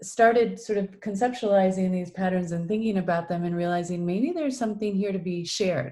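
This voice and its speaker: This woman's voice sits at medium pitch with ordinary pitch variation. Her tone is dark and mellow, and somewhat breathy. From Iowa, Des Moines. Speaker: executive coach and author. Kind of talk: video interview.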